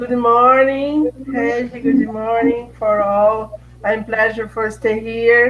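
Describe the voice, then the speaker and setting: Speaking at a very slow pace with hardly any pauses, a woman with a Brazilian accent uses a fairly high pitch and monotone, flat intonation against noticeable background noise. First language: Portuguese. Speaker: filmmaker and lecturer.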